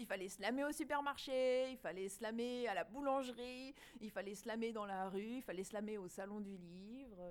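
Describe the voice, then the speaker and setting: A woman speaks with an unremarkable speaking voice at a fairly high pitch. Her pitch variation is ordinary and her pace moderate. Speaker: slam poet and event organizer. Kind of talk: casual interview.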